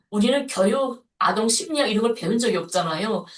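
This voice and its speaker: Fairly high-pitched and somewhat breathy, a woman speaks at a moderate pace with lively intonation. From North Korea. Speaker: North Korean defector activist. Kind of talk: interview.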